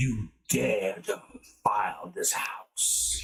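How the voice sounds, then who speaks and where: A man does a raspy, put-on character voice at a very slow pace. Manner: angry, accusing.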